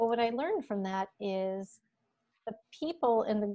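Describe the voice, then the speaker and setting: A woman with an American accent speaks at a medium pitch against a quiet background. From Michigan. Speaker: music education professor. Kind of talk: casual interview. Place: home room. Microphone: earbuds.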